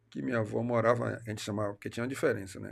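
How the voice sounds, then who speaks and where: There is vocal fry in this man's fairly low voice, captured on a very clean recording with a silent background. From Salvador, Bahia, Brazil. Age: 60s. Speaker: city councillor. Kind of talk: interview. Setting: studio. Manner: animated.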